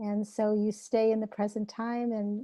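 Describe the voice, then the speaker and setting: Fairly high-pitched woman's voice in a dark, mellow tone, monotone and flat, at a moderate pace, with a dry, close sound and no echo. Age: 70s. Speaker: author and hypnotherapist. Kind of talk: podcast interview.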